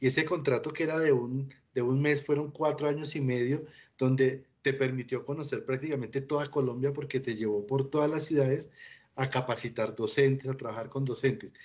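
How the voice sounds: The man keeps a medium pitch, fairly even intonation and a moderate pace.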